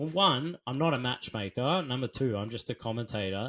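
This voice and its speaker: With an Australian accent, a man talks at a fairly quick pace with lively intonation. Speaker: Muay Thai commentator and former fighter. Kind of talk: interview answer. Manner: casual, conversational.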